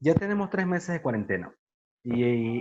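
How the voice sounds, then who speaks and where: A man speaks with a Venezuelan Andean accent. His pace is fairly slow. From Venezuelan Andes, Mérida. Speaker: accountant and workshop presenter. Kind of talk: online workshop lecture. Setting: video call.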